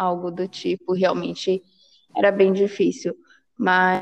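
A woman with an ordinary speaking voice and medium pitch talks at a fairly slow pace. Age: 20s. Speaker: program manager and mother. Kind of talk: podcast interview.

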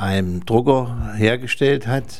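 A man's fairly low voice at a very slow pace. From Thuringia, Germany. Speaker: retired railway worker. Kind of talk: interview recollection.

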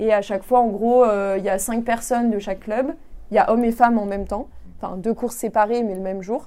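Her dark, mellow voice sits at a fairly high pitch as the woman speaks at a very fast pace with fairly even intonation. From France. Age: 20s. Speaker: engineering consultant and amateur triathlete. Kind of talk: interview.

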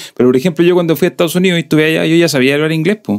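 The intonation is lively. A man talks with a southern Chilean accent. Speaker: podcast host. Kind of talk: casual chat.

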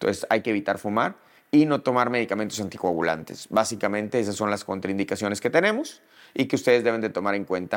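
Pitch moves in an ordinary way throughout. The delivery is very fast. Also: man. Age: 40s. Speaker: dermatologist. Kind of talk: educational monologue.

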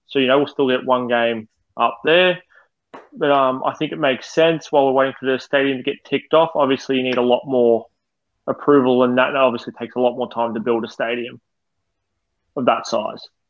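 This man has an Australian accent, a medium pitch and fairly even intonation, and he talks at a fairly quick pace. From Australia (western Melbourne suburbs). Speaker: football fan podcast co-host. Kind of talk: casual chat; reading prepared match notes.

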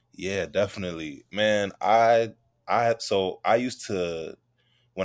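A New York accent on a very clean recording with a silent background. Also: man. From Queens, New York. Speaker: novelist. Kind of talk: interview.

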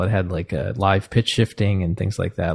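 Very fast and lively in intonation, a man with an American accent speaks at a very deep, low pitch with vocal fry, the sound dry and close with no echo against a quiet background. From US Northeast (New Jersey). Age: 40s. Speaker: composer and music professor. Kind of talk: casual interview conversation. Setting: video call.

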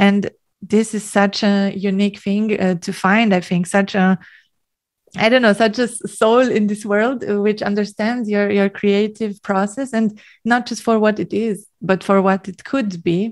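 Speaking at a fairly slow pace in a German accent, a woman with a medium pitch keeps a monotone, flat intonation on a very clean recording with a silent background. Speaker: singer. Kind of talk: casual chat. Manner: giggly, hesitant with fillers.

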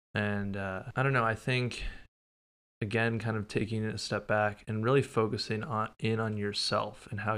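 On a very clean recording with a silent background, a man with an American accent speaks in a plain, everyday voice at a fairly low pitch, a moderate pace and fairly even intonation. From Minnesota. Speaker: swim coach. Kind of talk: casual chat.

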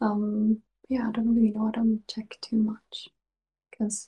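Speaking at a fairly slow pace, a woman uses a fairly high pitch and a monotone, flat intonation, her somewhat breathy voice dark and mellow in tone, with a dry, close sound and no echo. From Sweden. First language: Swedish. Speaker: ASMR creator. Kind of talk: whispered casual interview. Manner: giggly.

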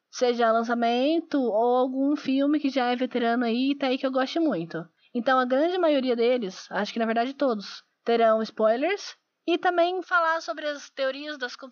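A woman speaks in a high voice with lively intonation. Her pace is moderate. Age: 20s. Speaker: podcast host, biology student. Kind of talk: casual solo podcast intro. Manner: self-described imperfect diction.

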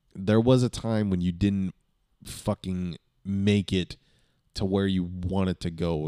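A man with an American accent speaks in a very deep, low pitch, with a dark, mellow tone and ordinary pitch variation. The recording is very clean, with a silent background and a dry, close sound with no echo. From Southern California. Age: 20s. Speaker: podcast host. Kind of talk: casual monologue. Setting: home studio. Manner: low energy; halting.

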